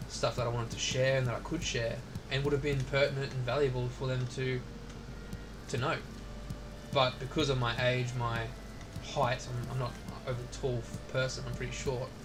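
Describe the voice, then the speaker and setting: A man mumbles at a fairly quick pace in an Australian accent, with audible room echo and noticeable background noise. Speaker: military veteran streaming a video game. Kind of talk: casual chat. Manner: mumbling, lots of filler words.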